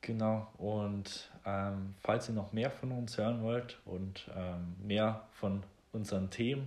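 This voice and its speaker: Speaking at a very slow pace, a man uses a fairly low voice with fairly even intonation. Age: 20s. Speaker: podcast host. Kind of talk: casual chat.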